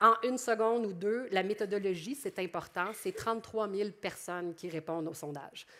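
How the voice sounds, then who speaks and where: The tone is bright and sharp, the pace moderate, with ordinary pitch variation and hardly any pauses. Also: woman, medium pitch for a woman. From Quebec. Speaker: public relations professional. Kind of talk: conference presentation. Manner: animated.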